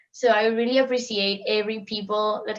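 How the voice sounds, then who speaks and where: A woman speaks with a strong Spanish accent in a monotone, flat way. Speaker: international student guest. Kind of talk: casual interview.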